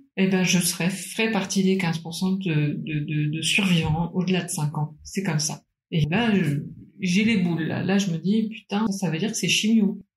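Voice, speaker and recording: Speaking at a fairly slow pace, a woman has a medium pitch and a somewhat breathy voice. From Paris, France. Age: 30s. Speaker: cancer survivor. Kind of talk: testimony.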